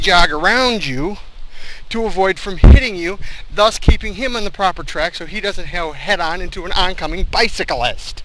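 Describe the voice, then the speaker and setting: A man's voice over noticeable background noise. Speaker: vlogger on weight-loss walks. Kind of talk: walking vlog monologue. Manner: fast-paced, rising and dropping intonation; snarky commentary tone.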